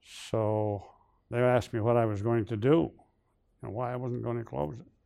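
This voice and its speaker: A man with an American accent talks fairly quickly at a medium pitch, with a dark, mellow tone. His pitch varies an ordinary amount, and the recording is very clean with a silent background. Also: long, frequent pauses. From Northern New York (Brownville, near Watertown). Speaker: retired business executive. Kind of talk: interview.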